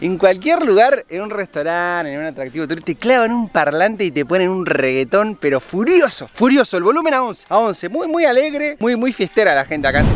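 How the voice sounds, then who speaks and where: Speaking at a high pitch, a man moves at a fairly quick pace with very wide pitch swings and an upbeat, enthusiastic tone, the sound dry with no echo. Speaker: travel vlogger. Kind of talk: casual travel vlog talk to camera. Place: open country. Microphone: phone near.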